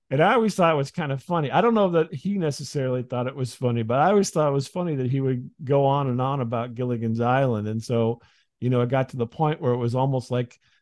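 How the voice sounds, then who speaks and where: A man with a plain, everyday voice, medium pitch and an American accent, ordinary pitch variation, a fairly quick pace and a quiet background. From US Midwest. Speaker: comedy podcast host. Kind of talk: casual interview chat.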